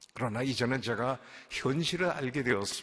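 The speaker has an unremarkable speaking voice. The pace is moderate and the pitch varies in an ordinary way. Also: man. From South Korea, Seoul. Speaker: pastor. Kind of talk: sermon.

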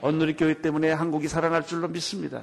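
A man speaks at a fairly quick pace. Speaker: pastor. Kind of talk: sermon.

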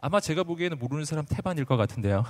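Talking at a fairly quick pace, a man sounds animated, with lively intonation. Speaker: pastor. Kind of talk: sermon. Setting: stage with audience.

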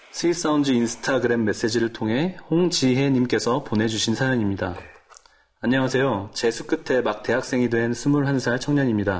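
A man speaks in a normal speaking voice at medium pitch, with ordinary pitch variation and a moderate pace. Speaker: singer. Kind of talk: interview.

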